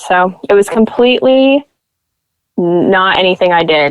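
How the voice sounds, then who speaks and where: A woman with an American accent. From Nebraska, US. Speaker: podcaster and model. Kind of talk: interview conversation.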